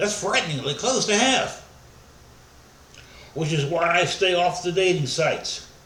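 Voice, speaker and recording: A man's high-pitched voice at a fairly slow pace, with long, frequent pauses, ordinary pitch variation and very even loudness, plus audible room echo and noticeable background noise. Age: 60s. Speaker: pastor. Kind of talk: sermon.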